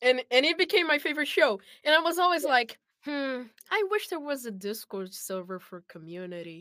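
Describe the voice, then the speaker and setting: A high-pitched woman's raised, projected voice with a Brazilian accent, bright and sharp in tone, with very wide pitch swings and big swings in loudness. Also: moderate pace. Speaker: voice actor. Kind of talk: casual chat.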